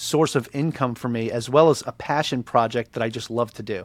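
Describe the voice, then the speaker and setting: With an American accent, a man with an ordinary speaking voice talks at a fairly quick pace with ordinary pitch variation, on a very clean recording with a silent background and a dry, close sound with no echo. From Long Island, New York. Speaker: podcast host and real estate agent, Navy veteran. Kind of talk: casual interview chat.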